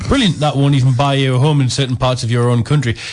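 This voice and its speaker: Against noticeable background noise, a man talks in a fairly high voice. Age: 20s. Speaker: guest. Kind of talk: radio film review chat.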